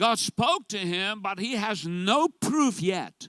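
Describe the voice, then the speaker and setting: A man's raised, projected voice, high-pitched, with a bright, sharp tone and lively intonation, in a very clean recording with a silent background. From South Africa. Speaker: pastor. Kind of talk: sermon.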